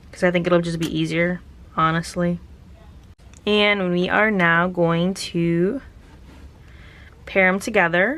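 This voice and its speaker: Over noticeable background noise, a woman speaks at a fairly low pitch with fairly even intonation. Her pace is very slow, with long, frequent pauses. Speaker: craft youtuber. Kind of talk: tutorial. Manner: casual.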